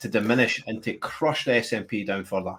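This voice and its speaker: A man speaks in a Scottish accent with lively intonation. The recording is very clean, with a silent background. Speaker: show host. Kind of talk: interview. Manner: halting.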